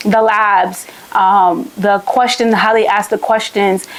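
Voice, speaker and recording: Over noticeable background noise, a woman speaks in an animated tone at a fairly high pitch. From Haiti. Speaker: medical student youtuber. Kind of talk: casual tutorial vlog.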